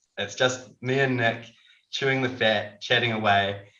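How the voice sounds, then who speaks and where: This man speaks with a New Zealand accent. His pitch varies in an ordinary way. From New Zealand, Dunedin. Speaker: ophthalmic surgeon. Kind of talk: casual chat.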